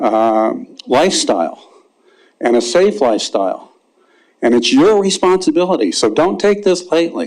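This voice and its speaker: Here a man speaks with an American accent in a high pitch, using very wide pitch swings at very even loudness. He leaves long, frequent pauses. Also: moderate pace. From New Jersey. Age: 70s. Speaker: member of the public giving comment. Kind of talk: public comment at council meeting. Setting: city council meeting.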